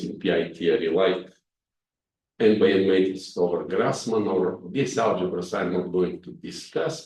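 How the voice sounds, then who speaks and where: Speaking in a Bulgarian accent, a man uses a dark, mellow tone at a fairly slow pace, his pitch swinging very widely amid audible room echo. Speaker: mathematics professor. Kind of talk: lecture. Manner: hesitant with frequent fillers.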